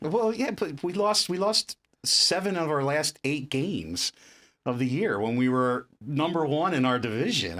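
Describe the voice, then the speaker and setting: At a moderate pace, a man with a South Jersey accent talks at a fairly high pitch with very wide pitch swings. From South Jersey, US. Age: 40s. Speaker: entrepreneur, company CEO. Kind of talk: casual chat.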